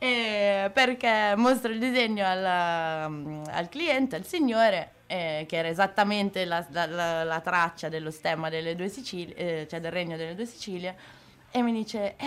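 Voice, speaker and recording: Her voice sits at a medium pitch, with ordinary pitch variation. The woman talks at a fairly slow pace. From Milan outskirts, northern Italy. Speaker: tattoo artist. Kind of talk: interview.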